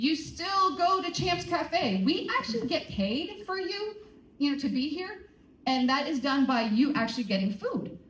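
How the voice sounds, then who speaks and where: A woman with a high pitch makes very wide pitch swings over noticeable background noise. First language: not English. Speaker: teacher. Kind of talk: school assembly announcements. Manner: animated.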